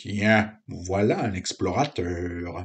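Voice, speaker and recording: Very slow and very deep, a man's low-pitched put-on character voice drawls out each word. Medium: read story. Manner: pedantic, self-important.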